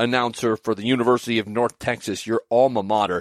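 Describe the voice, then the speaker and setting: A man with an American accent speaks at a moderate pace and medium pitch in an ordinary speaking voice. The recording is very clean and dry, with a silent background and a close sound with no echo. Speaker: podcast host and sportscaster. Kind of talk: interview conversation.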